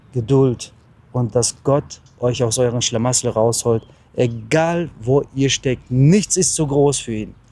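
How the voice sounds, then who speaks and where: A man with a dark, mellow tone speaks at a medium pitch and a very slow pace. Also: ordinary pitch variation. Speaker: travel vlogger and lay preacher. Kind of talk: short sermon and blessing.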